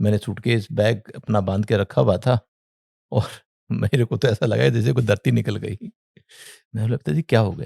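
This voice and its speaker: A man's fairly low voice with vocal fry and a dark, mellow tone, in dry, close sound with no echo on a very clean recording with a silent background. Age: 60s. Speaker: entrepreneur and former air force serviceman. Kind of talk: interview storytelling. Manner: halting.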